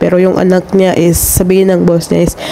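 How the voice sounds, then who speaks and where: A woman speaks at a moderate pace with a medium pitch, and noticeable background noise is present. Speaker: overseas domestic worker vlogger. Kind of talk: casual vlog.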